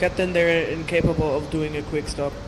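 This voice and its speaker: Over noticeable background noise, a man with a non-native accent speaks at a moderate pace in a fairly high pitch and a monotone, flat intonation. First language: not English. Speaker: radio operator in game. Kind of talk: game chat. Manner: halting.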